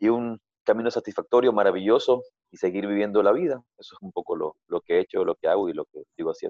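This man talks at a very fast pace. His loudness swings widely. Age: 40s. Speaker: yoga teacher. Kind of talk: interview. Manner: halting.

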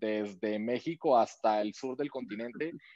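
Ordinary pitch variation accompanies speech delivered at a fairly quick pace. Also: man, dry, close sound with no echo. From Colombia. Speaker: startup co-founder. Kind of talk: interview. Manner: halting, many repetitions and fillers.

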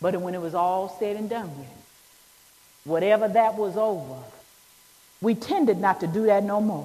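A woman with an animated, warm tone and medium pitch speaks at a moderate pace with ordinary pitch variation, big swings in loudness and long, frequent pauses over noticeable background noise. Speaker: preacher. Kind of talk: sermon. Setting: church. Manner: animated, call-and-response, urging the congregation to answer amen; warm, emphatic, building to an uplifting close.

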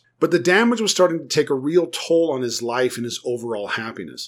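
A man with an American accent and a normal speaking voice talks at a moderate pace, fairly high in pitch with lively intonation, on a very clean recording with a silent background. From United States. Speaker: therapist. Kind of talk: solo podcast talk on psychology.

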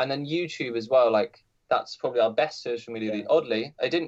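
At a fairly quick pace, a man with a British accent speaks at medium pitch. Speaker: musician. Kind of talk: casual chat.

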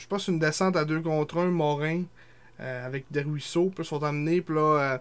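A man with an unremarkable speaking voice and a fairly high pitch talks at a moderate pace with fairly even intonation. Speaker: sports podcast co-host. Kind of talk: casual chat; reading aloud.

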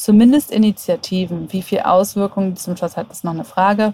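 A woman talks at a moderate pace with fairly even intonation. It is an ordinary speaking voice. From Germany, Hannover. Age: 30s. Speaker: app developer and agency owner. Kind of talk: casual interview.

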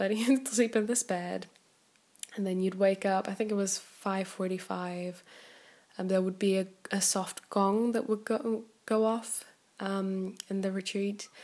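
A woman with a non-native accent at medium pitch, fairly slow pace and fairly even intonation. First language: not English. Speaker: podcast host, personal growth mentor. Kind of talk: casual solo monologue. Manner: hesitant with frequent fillers.

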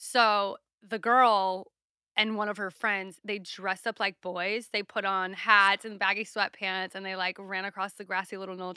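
A woman speaks at a fairly slow pace in a medium pitch with a slight Southern US accent, her bright, sharp tone and monotone, flat intonation captured in a dry, close sound with no echo on a very clean recording with a silent background. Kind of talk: casual chat. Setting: studio.

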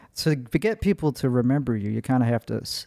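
A man with an American accent speaks at a moderate pace and a medium pitch, recorded very cleanly against a silent background. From Chicago, US Midwest. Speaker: comedian and podcaster. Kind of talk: casual chat, podcast interview.

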